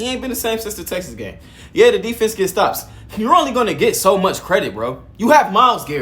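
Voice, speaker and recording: A man with a high pitch, lively intonation and an animated tone at a fairly quick pace, with audible room echo and music in the background. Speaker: sports commentator. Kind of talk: casual video commentary. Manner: fast, stuttering.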